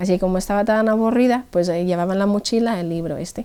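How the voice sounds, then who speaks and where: A woman speaks in an Irish accent. Her tone is dark and mellow, with ordinary pitch variation. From Ireland. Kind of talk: interview answer, personal testimony.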